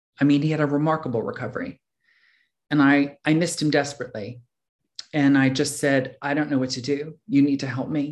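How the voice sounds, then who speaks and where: A man with an unremarkable speaking voice, fairly high in pitch, with an American accent. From US Northeast, Philadelphia. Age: 50s. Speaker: recovery meeting speaker. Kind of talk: personal testimony.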